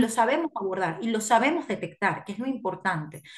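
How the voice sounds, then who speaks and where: A woman's fairly quick speech with lively intonation against a quiet background. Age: 30s. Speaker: camp director. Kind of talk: radio interview. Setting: video call. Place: home room. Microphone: video call.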